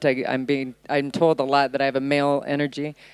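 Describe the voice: A woman talks at a fairly quick pace in an extremely low pitch with little pitch movement, her tone clear and smooth, the sound dry and close with no echo.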